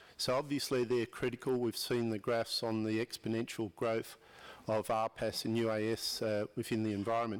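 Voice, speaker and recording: On a very clean recording with a silent background, a man with an Australian accent talks at a moderate pace in a medium pitch, his intonation monotone and flat and his loudness very even. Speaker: audience member at aviation conference. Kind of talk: audience question at panel session.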